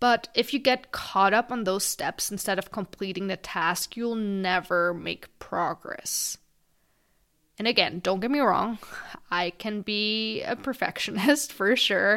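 In a very clean recording with a silent background, a woman with a non-native accent speaks at a fairly slow pace in a medium-pitched voice with a bright, sharp tone. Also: ordinary pitch variation. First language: not English. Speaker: podcast host. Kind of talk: solo podcast monologue.

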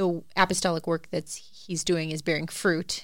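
In a very clean recording with a silent background, a woman speaks at a very deep, low pitch. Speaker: podcast host. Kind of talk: casual chat.

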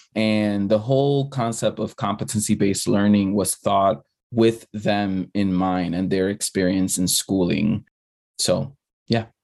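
A man with an American accent talks in a normal speaking voice at a fairly low pitch. His pace is fairly slow, his pitch variation is ordinary, and the background is quiet. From the Bronx, New York. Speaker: former school principal, nonprofit leader. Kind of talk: casual chat.

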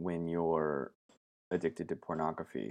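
Over a quiet background, a man with a Pacific Northwest accent speaks fairly slowly in a very deep, low voice with vocal fry. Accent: American (Pacific Northwest). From US West, southern Oregon. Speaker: branding agency founder. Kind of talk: interview.

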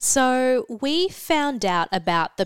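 Lively intonation marks this woman's speech in an Australian accent. The recording is very clean with a silent background and a dry, close sound with no echo. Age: 20s. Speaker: beauty editor. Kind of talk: casual chat.

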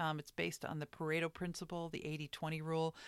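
On a very clean recording with a silent background and a dry, close sound with no echo, a woman with an American accent speaks at a very deep, low pitch. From New York. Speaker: artist and podcast host. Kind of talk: solo podcast monologue. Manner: casual, with hesitations and fillers.

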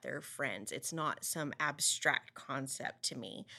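Against a silent background in a very clean recording, a woman speaks with a bright, sharp tone and ordinary pitch variation. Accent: West Texas. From Texas Panhandle (Amarillo). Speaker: school board member and education advocate. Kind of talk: interview.

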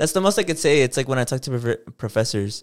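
Lively intonation runs through a man's medium-pitched, unremarkable speaking voice. The recording is very clean, with a silent background. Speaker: podcast co-host. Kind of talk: casual chat.

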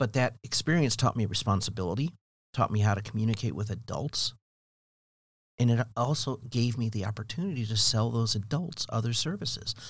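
A somewhat breathy man's voice at a medium pitch with an American accent, fairly quick in pace with ordinary pitch variation, in a very clean recording with a silent background. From US Midwest, Cleveland area. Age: 60s. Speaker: construction education coordinator, former general contractor. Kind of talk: casual interview. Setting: studio.

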